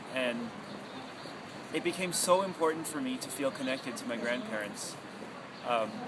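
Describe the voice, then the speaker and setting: In a Canadian accent, a man talks at a fairly quick pace and fairly high pitch with lively intonation and long, frequent pauses, amid noticeable background noise and audible room echo. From Canada, Toronto. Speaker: radio broadcaster. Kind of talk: personal testimony.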